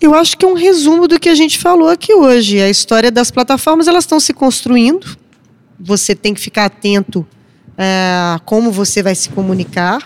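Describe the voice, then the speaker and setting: A woman's voice with very wide pitch swings. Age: 40s. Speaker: journalist. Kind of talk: panel discussion.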